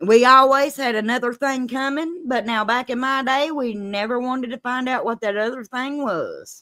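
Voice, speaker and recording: In a strong Kentucky accent, the voice is raised and projected, bright and sharp in tone, moving at a moderate pace with ordinary pitch variation and hardly any pauses. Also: woman, high pitch for a woman. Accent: Kentucky twang, strong Southern. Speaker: live-stream host, true crime storyteller. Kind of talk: casual chat. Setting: live stream.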